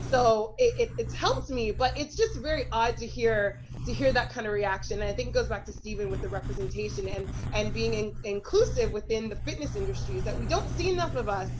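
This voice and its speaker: The speech comes at a fairly quick pace in a Canadian accent. Noticeable background noise runs underneath. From Canada, Toronto. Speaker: fitness instructor. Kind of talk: panel discussion.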